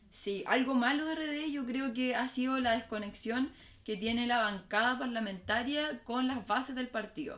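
In a Chilean accent, a woman with a high voice speaks fairly slowly with ordinary pitch variation. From Chile, Valparaíso. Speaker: political candidate. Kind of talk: casual chat.

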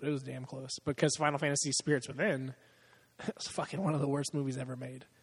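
A man talks at a very fast pace in a fairly high, somewhat breathy voice. His intonation is monotone and flat. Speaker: podcast host. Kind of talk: casual chat. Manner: profane, laughs often.

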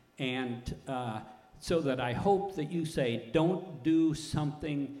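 The man's tone is dark and mellow. His pitch varies in an ordinary way. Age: 80s+. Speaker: audience member asking question. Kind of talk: audience question.

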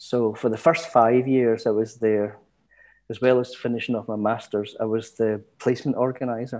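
The speaker has a Glaswegian accent and a moderate pace, with fairly even intonation. The recording is very clean, with a silent background. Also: man, medium pitch for a man. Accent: Glaswegian Scottish. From Scotland, East End of Glasgow. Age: 60s. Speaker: retired community education lecturer. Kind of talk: casual interview.

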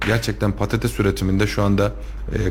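Over noticeable background noise, a man talks fairly quickly in a fairly low voice that makes very wide pitch swings. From Turkey, Kayseri (Tomarza). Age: 30s. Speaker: lawyer and local politician. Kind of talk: radio interview. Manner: hesitant, many filler sounds.

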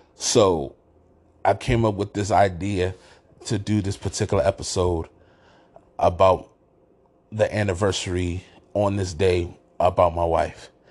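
With an American accent, a man speaks in a very deep, low, somewhat breathy voice, with fairly even intonation, a fairly slow pace and long, frequent pauses. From Washington, D.C. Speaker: sports podcast host. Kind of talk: casual monologue. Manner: halting, many fillers and restarts.

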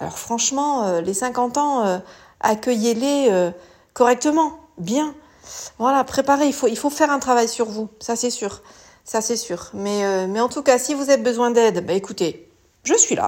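This woman talks at a fairly slow pace with lively intonation and a high pitch. The recording is very clean, with a silent background. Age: 50s. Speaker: image consultant. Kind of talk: solo podcast monologue. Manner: halting.

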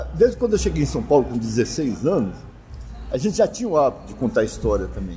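Music playing behind a man's fairly quick delivery. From southern Minas Gerais, Brazil. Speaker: folklore association co-founder and cachaça judge. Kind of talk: casual interview, storytelling.

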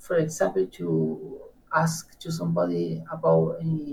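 This is a man speaking. He has an Argentine accent. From Argentina, Patagonia (Neuquén). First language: Spanish. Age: 30s. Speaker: guest, language learner. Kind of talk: interview, casual chat.

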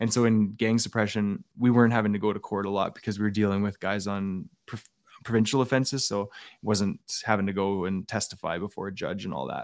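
Someone with an Albertan accent talks at a very fast pace with fairly even intonation. The recording is very clean, with a silent background. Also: man, fairly low pitch for a man. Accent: Canadian (Albertan). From Alberta, Canada. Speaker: former police officer. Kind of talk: interview testimony.

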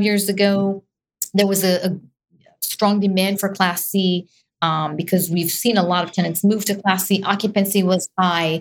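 A woman's medium-pitched voice with an Israeli accent and fairly even intonation. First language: Hebrew. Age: young. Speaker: real estate investor. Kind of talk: interview.

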